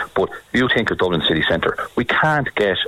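With noticeable background noise behind him, a man talks in an Irish midlands accent. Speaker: retailer. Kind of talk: radio discussion.

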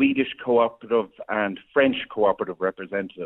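In an Irish accent, a man at medium pitch speaks at a moderate pace with fairly even intonation. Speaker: former radio presenter, farm co-op representative. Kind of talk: radio interview.

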